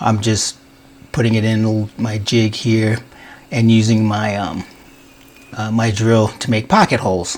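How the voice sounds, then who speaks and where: Over noticeable background noise, a man speaks slowly-ish, at a fairly slow pace with long, frequent pauses and monotone, flat intonation. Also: fairly low pitch for a man. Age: 60s. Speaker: woodworker. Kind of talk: casual how-to talk to camera.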